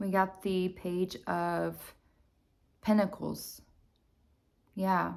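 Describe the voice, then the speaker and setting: A woman speaks at a very slow pace. Her speech is broken by long, frequent pauses. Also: very clean recording, silent background. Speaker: tarot reader. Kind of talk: tarot reading for viewers. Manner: hesitant, many fillers; soft-spoken.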